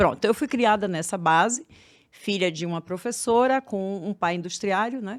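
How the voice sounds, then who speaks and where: In a Bahian accent, a woman speaks at a moderate pace with lively intonation on a very clean recording with a silent background. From Bahia, Brazil. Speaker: therapist for women. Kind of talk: podcast interview.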